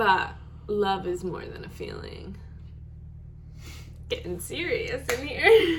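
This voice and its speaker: A woman speaks very slowly in a high voice, with long, frequent pauses and audible room echo. Her pitch swings very widely and her loudness shifts in big swings. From Rochester, New York. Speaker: YouTuber, singer. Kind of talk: casual chat.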